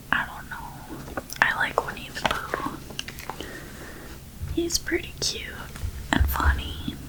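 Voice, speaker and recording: Long pauses come often in this very slow whisper. Behind it runs noticeable background noise. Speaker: ASMR creator. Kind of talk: casual talk to camera. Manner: soft-spoken.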